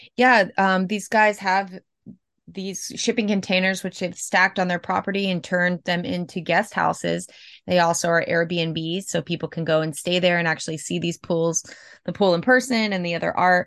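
At a moderate pace, a woman with an American accent speaks in a fairly low voice with fairly even intonation. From Florida. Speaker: mural artist. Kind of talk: interview.

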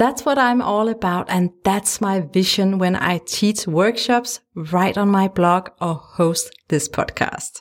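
A woman with a Danish accent speaks at a very slow pace with hardly any pauses, her medium pitch showing ordinary variation and her loudness very even. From Denmark. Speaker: podcast host, photographer and life coach. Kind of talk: solo podcast monologue. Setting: home studio. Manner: warm and gentle.

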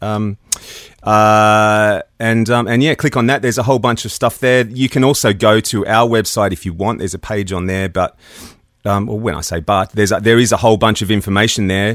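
A man talks at a fairly quick pace. He speaks with an Australian accent. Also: fairly even intonation. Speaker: audio producer and equipment designer. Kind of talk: casual interview.

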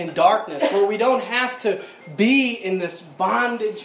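Someone does plain reading aloud. Pitch moves up and down in an ordinary way.

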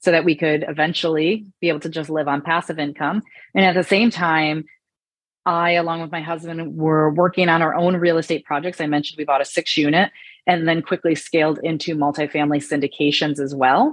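A woman talks with a Michigan accent. Her pitch is very deep and low. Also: fairly even intonation, fairly quick pace. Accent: US Midwestern (Michigan). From Michigan, small town. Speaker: real estate investor, former corporate executive. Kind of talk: interview conversation.

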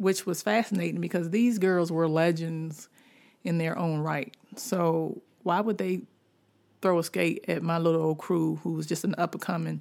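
In a plain, everyday voice, a woman speaks with an American accent at a fairly slow pace. Her pitch is fairly low and her intonation fairly even. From Washington, D.C. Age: 40s. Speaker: podcast host, writer. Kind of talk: casual storytelling monologue.

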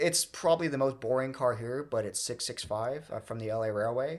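In a quiet background, a man with an American accent speaks in a normal speaking voice. His medium pitch has ordinary pitch variation, and he keeps a fairly quick pace. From Southern California (Redlands). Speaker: museum volunteer, streetcar restorer. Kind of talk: casual interview.

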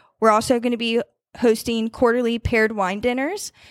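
A woman with an American accent talks at a fairly quick pace in a normal speaking voice. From Northern Virginia (Warrenton). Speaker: yacht club events director. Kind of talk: interview.

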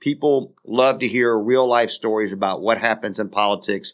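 Against a quiet background, a man with an American accent and a normal speaking voice talks at a moderate pace and a medium pitch, with fairly even intonation. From US South, South Carolina (St. George, Dorchester County). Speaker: podcast co-host, former state legislator. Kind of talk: casual political chat.

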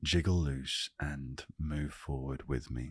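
A man's very deep, low voice in a calm, soothing tone, at a fairly slow pace with fairly even intonation, in a dry, close sound with no echo. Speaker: podcast host. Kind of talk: casual solo monologue. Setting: at home.

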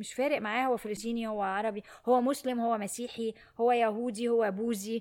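A woman's fairly high-pitched, animated voice at a fairly quick pace. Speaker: podcast host on emotional education. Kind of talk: solo monologue talk. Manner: animated, worked up today.

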